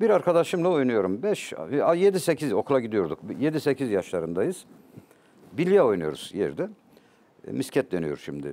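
With very wide pitch swings and vocal fry, a man talks fairly slowly in a dark, mellow tone. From Turkey, Elazığ (eastern Anatolia); Turkey. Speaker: poet and literature professor; talk show guest. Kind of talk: interview, personal storytelling. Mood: reflective, emotional storytelling. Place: studio. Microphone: lapel.

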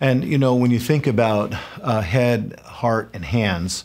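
A man's speech moves fairly slowly, and his pitch varies in an ordinary way. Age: 50s. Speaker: pastor and college president hosting podcast. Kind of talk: casual chat. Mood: earnest, passionate. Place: studio.

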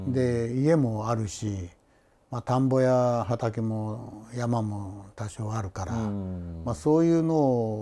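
Taking a very slow pace, the man talks with ordinary pitch variation. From Shimane, Oda; Shimane. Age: 70s. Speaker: retired teacher. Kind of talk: interview. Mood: relaxed, friendly reminiscing. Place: home room. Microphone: lapel.

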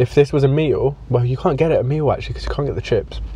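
Recorded with light background noise, a man speaks in a dry sound with no echo. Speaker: blogger. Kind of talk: casual vlog chat. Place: car. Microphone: lapel.

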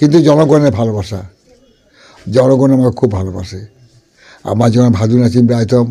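This man's voice sits at a medium pitch with a dark, mellow tone. His pitch variation is ordinary. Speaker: folk singer. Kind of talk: interview. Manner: halting.

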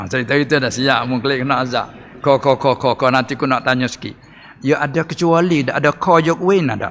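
With a Patani Malay accent, a man speaks with ordinary pitch variation. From Thailand. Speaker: religious teacher. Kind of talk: religious lecture. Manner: animated. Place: hall. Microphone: podium.

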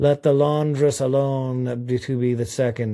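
This is plain reading aloud with fairly even intonation.

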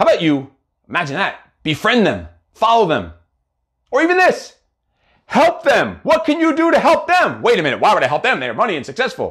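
A man speaks in an animated tone with very wide pitch swings. The background is quiet. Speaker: motivational coach and live show host. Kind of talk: motivational livestream monologue. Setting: live video broadcast on social media. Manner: fast. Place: home room.

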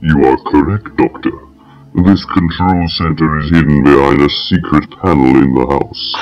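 A man uses a put-on character voice. His pitch sits very deep and low. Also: moderate pace. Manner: flat, emotionless, menacing.

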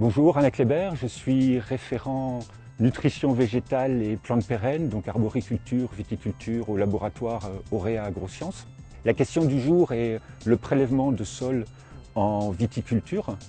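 A man's voice with ordinary pitch variation, faint music in the background. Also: fairly slow pace, dry sound with no echo. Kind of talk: interview explanation. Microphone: lapel.

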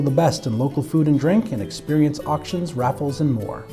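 Music plays in the background as a man speaks at a moderate pace. His fairly high voice has lively intonation. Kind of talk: promotional event announcement, corporate narration.

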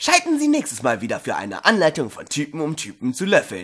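Done as a put-on character voice, this fairly bright tone with a slightly husky edge makes very wide pitch swings at a fairly quick pace. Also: man, fairly high pitch for a man.

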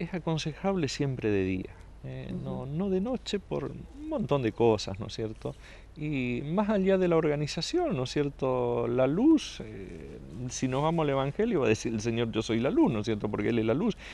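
Delivered at a moderate pace, the voice sounds dry with no echo. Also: man. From Saladas, Corrientes, Argentina; Corrientes, Argentina. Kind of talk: interview. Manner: halting, many repetitions and fillers. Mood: calm, measured. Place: garden.

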